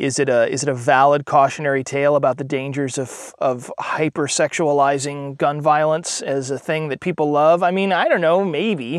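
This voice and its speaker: This is a man with an ordinary speaking voice. He talks at a moderate pace with fairly even intonation. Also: fairly high pitch for a man. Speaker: tech journalist and gun enthusiast. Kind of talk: casual chat.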